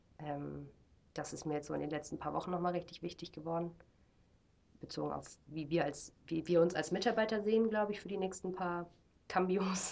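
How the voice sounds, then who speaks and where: A woman's voice with vocal fry, long, frequent pauses, a moderate pace and ordinary pitch variation. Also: fairly low pitch for a woman. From Germany. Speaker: missionary, discipleship school leader. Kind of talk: casual interview.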